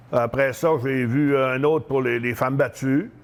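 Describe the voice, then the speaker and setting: The voice belongs to a man, an unremarkable speaking voice at a medium pitch. His intonation is fairly even. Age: 60s. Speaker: retired professional wrestler. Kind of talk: interview. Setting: fitness store.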